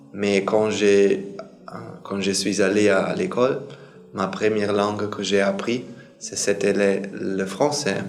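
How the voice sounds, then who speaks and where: At a very slow pace with long, frequent pauses, a man with a non-native accent speaks in a fairly low, monotone, flat voice, with noticeable background noise and audible room echo. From Germany. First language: German (speaking French). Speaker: Buddhist monk. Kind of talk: casual introduction to camera. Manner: halting, with many hesitations.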